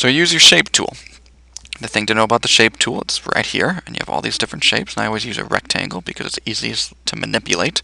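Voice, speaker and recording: Against noticeable background noise, a man talks very fast in a dry, close sound with no echo. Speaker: teacher. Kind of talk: tutorial.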